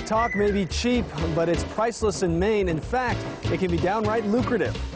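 A man is speaking over clear music in the background. The sound is dry with no echo. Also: moderate pace. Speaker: TV news anchor and reporter. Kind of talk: TV news promo narration. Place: waterside.

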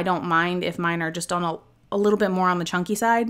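A woman with an American accent uses a plain, everyday voice at a medium pitch with ordinary pitch variation. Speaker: YouTube channel assistant. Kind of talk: cooking tutorial. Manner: casual, chatty.

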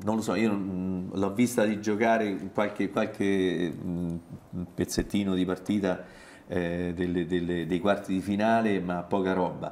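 With fairly even intonation, the talking proceeds at a moderate pace. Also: man. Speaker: sports journalist. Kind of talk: casual chat. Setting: studio. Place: studio. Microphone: lapel.

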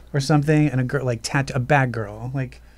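At a moderate pace, a man talks with noticeable background noise behind him. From Baltimore. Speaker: video editor; podcast guest. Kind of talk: casual chat. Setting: studio. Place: studio. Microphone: studio mic.

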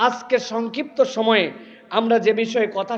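Audible room echo surrounds a man's voice. He sounds animated, with an extremely high pitch. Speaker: Islamic preacher. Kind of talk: sermon. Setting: religious gathering with audience.

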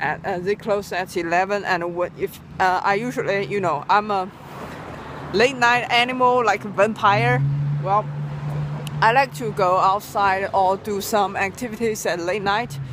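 Over noticeable background noise, a woman speaks with a dry sound and no echo. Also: moderate pace. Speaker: vlogger. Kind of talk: casual vlog chat. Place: street. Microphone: phone near.

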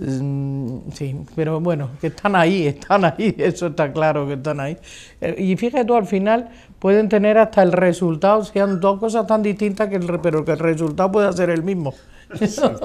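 This woman's voice is fairly low in pitch. She keeps to a moderate pace. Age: 60s. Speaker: retired politician. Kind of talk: interview. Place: hall.

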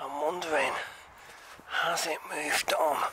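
Light background noise accompanies a man's voice, with a dry sound and no echo. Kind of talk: casual vlog chat. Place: open country. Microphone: phone near.

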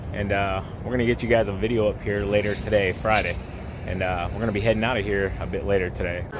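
Very fast speech from a man, noticeable background noise, dry sound with no echo. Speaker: lawn care vlogger. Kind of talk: casual vlog chat. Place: street. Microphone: phone near.

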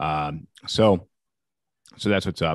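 A man's voice, dry with no echo, against a quiet background. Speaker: podcast host. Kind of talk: casual podcast chat. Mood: relaxed, joking. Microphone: studio mic.

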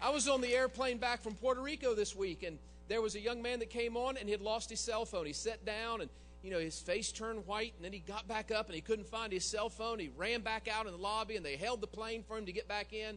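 Over faint background music, a man talks very fast in a high voice with ordinary pitch variation. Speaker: preacher. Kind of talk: sermon. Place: church. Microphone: handheld.

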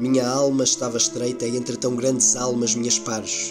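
A man talks at a fairly slow pace in a European Portuguese accent. Music plays in the background. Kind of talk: poetry reading.

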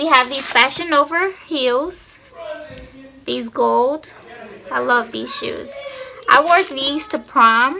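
Against light background noise, a woman uses a raised, projected voice at a high pitch, with lively intonation, big swings in loudness, a very slow pace and long, frequent pauses. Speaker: YouTuber. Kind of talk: casual vlog chat. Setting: home, sitting on floor filming. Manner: casual, lazy, chatty. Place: home room. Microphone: phone near.

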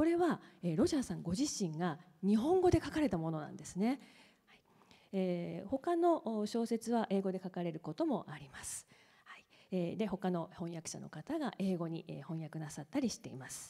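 A woman with a dark, mellow tone at a moderate pace, with very wide pitch swings and big swings in loudness against a quiet background. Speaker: professor. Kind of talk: moderated onstage talk. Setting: stage with audience. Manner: formal. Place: hall. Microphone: handheld.

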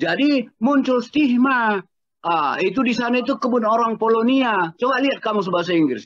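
With an extremely high pitch, a man talks at a moderate pace and very even loudness, the sound dry with no echo and the background quiet. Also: ordinary pitch variation. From North Sumatra, Medan area. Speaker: cultural historian. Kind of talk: panel discussion. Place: home room. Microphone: video call.

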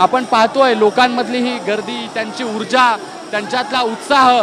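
Crowd noise in the background, with a dry sound and no echo. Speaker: news reporter. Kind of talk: live news commentary. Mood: devotional, enthusiastic.

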